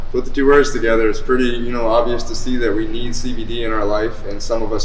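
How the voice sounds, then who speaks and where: A man speaks with an American accent, with noticeable background noise and audible room echo. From Taunton, Massachusetts. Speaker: podcast co-host. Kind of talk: casual interview.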